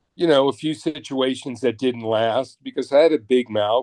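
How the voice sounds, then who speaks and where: A man's plain, everyday voice at medium pitch, moderate pace, and ordinary pitch variation. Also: dry, close sound with no echo. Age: 60s. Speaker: touring production manager. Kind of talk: interview.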